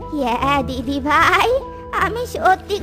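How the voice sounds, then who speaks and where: Over loud music in the background, a woman performs a cartoonish character voice at a high pitch and a very slow pace. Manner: affectionate.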